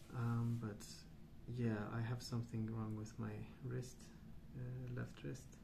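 Against noticeable background noise, a soft-spoken man talks at a very slow pace. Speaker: ASMR artist. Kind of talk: casual rambling while colouring. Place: home room.

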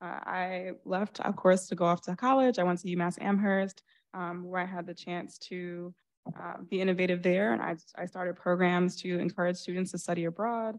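This woman speaks with a New York accent at a moderate pace. Her intonation is fairly even, and the background is quiet. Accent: New York area American. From New Rochelle, New York. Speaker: school board candidate, education consultant. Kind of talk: candidate forum speech. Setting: stage with audience. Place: stage.

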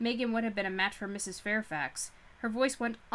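A text is read out in a natural-sounding voice. Pitch changes stay fairly small.

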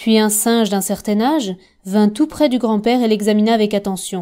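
A woman speaks at a moderate pace in a fairly high pitch, her tone dark, mellow and warm, on a very clean recording with a silent background. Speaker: audiobook narrator.

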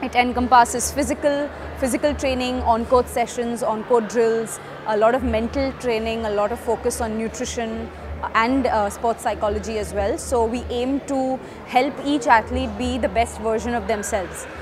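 With fairly even intonation, a woman speaks at a moderate pace against noticeable background noise. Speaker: head coach. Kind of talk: interview statement. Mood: grateful, formal. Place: hall.

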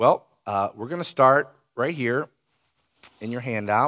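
A man's speech keeps a moderate pace and ordinary pitch variation, with a quiet background behind it. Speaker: pastor. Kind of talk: sermon. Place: church.

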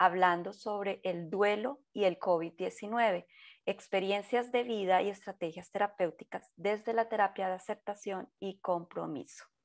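Against a quiet background, a woman speaks at a fairly slow pace and medium pitch, with ordinary pitch variation. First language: Portuguese (speaking Spanish). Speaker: webinar host. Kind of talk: scripted webinar introduction. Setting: online webinar. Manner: formal.

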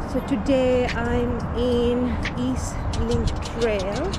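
Music sounds behind the voice. The speaker is a woman. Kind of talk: casual vlog chat. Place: bicycle. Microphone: phone near.

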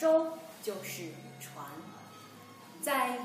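Over clear background music and audible room echo, a woman speaks at a very slow pace. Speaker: Chinese language teacher. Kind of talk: slow simple-language lesson. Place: home room.

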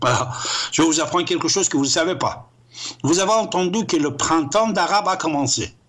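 A man speaks at a fairly quick pace with a high pitch. His tone is animated. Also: ordinary pitch variation. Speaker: radio show host. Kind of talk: heated monologue, call-in show. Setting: call-in radio show, phone. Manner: animated, emphatic. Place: studio.

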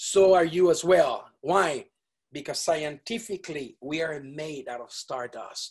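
This man has an animated tone and talks at a fairly slow pace. The background is quiet. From Venezuela. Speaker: multi-instrumentalist wind musician; guest. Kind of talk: interview. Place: studio. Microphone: video call.

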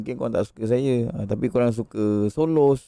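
A man's dark, mellow voice at a fairly slow pace, dry with no echo, over a quiet background. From Malaysia. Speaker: gaming livestreamer. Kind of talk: casual livestream chat. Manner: animated. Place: home room. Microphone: studio mic.

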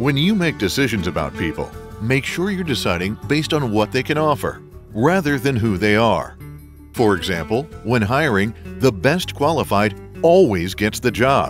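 Over music in the background, a man at medium pitch speaks at a moderate pace in a confident tone with very wide pitch swings. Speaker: voice actor. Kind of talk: e-learning narration. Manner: friendly, professional; confident, communicative.

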